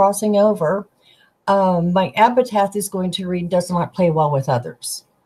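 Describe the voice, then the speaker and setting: Somewhat breathy and dark, mellow in tone, a woman's voice moves at a fairly slow pace with lively intonation. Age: 60s. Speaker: tarot deck creator. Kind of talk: casual chat.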